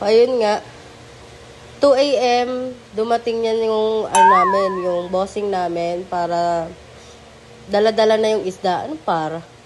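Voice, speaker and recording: There is noticeable background noise behind this woman's fairly high voice. She leaves long, frequent pauses. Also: ordinary pitch variation, fairly slow pace. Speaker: betta fish seller vlogger. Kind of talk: casual vlog narration. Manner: casual, chatty.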